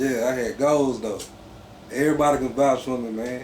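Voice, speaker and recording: A man with a Mississippi accent at a moderate pace, with audible room echo. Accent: Mississippi country. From Mississippi Gulf Coast, US South. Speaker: clothing brand founder. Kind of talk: casual interview.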